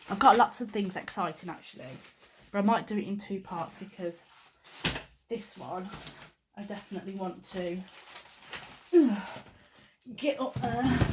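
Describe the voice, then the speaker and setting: Speaking at a moderate pace and medium pitch, a woman uses lively intonation and big swings in loudness, with long, frequent pauses and noticeable background noise. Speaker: nail artist YouTuber. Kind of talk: unboxing vlog. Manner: animated.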